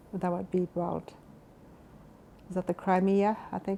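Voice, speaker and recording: Speaking at a moderate pace with a Canadian Prairie accent, a woman delivers her words in a flat monotone, her fairly low voice dark and mellow in tone. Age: 80s+. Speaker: retirement home resident. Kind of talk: life story interview.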